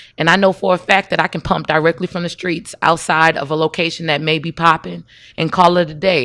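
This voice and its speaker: In an American accent, a woman with a fairly low pitch speaks loudly at a fairly quick pace, her tone bright and sharp, in a dry, close recording with no echo. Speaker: entrepreneur and marketing coach. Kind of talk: casual interview.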